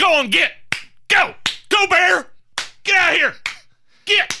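In a put-on character voice, a man speaks fairly slowly at an extremely high pitch. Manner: shouting, gruff, commanding.

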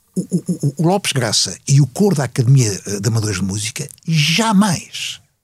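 Very wide pitch swings from a man, at a fairly slow pace. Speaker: veteran journalist. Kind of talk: panel discussion. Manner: halting, repeats words.

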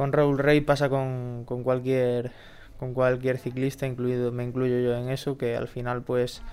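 This man speaks at a very slow pace and a medium pitch. His intonation is monotone and flat. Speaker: professional cyclist. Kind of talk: casual interview.

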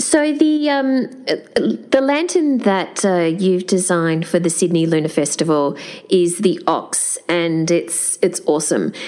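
Speaking very slowly with hardly any pauses, a woman with an Australian accent keeps a medium pitch and very even loudness while her pitch swings very widely over noticeable background noise. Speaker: podcast host and festival curator. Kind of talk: interview.

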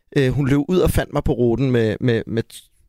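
The man's voice has a dark, mellow tone and ordinary pitch variation, recorded very cleanly with a silent background and a dry, close sound with no echo. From Denmark, Gladsaxe near Copenhagen. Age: 30s. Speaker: actor. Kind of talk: casual chat.

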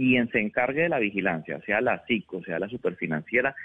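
A man talks at a moderate pace. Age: 30s. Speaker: congressman. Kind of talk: interview.

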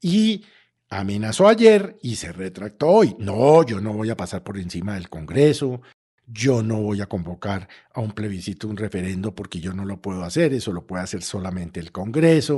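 A man with a dark, mellow tone and fairly low pitch speaks against a quiet background. His intonation is lively and his loudness swings a lot. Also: moderate pace. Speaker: political commentator. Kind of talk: political commentary. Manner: animated.

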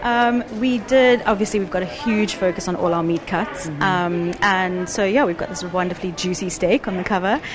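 Music plays in the background and the room echo is audible as a woman talks. She speaks at a moderate pace with hardly any pauses, at a medium pitch with ordinary pitch variation. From South Africa. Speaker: food magazine content director. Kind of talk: casual chat.

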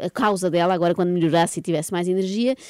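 A woman speaks at a very fast pace in a medium pitch with a dark, mellow tone. The sound is dry and close, with no echo. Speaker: morning radio host. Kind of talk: morning radio show.

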